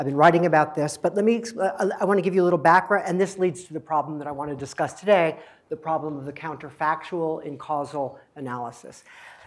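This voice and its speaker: Against a quiet background, the speaker goes at a very fast pace with hardly any pauses, ordinary pitch variation and big swings in loudness. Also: man. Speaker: presenter. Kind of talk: lecture. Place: classroom.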